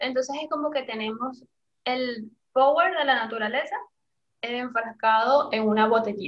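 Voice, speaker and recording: A woman talks at a fairly slow pace. Her pitch is high, with ordinary pitch variation. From Venezuela, Caracas. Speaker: essential oils seller and entrepreneur. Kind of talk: interview.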